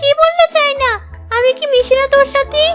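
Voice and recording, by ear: Clear music plays behind a woman doing a cartoonish character voice at an extremely high pitch and a fairly quick pace.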